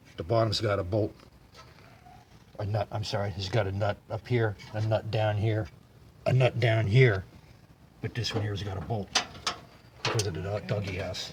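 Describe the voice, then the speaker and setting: A man with a fairly low pitch at a moderate pace, with long, frequent pauses and noticeable background noise. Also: fairly even intonation. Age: 70s. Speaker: vintage car mechanic, how-to video host. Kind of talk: casual explanation in the workshop. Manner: friendly.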